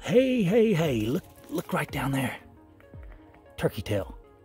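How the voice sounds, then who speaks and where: Man's voice, dry with no echo, over loud background music. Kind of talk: casual vlog chat. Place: forest. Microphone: phone near.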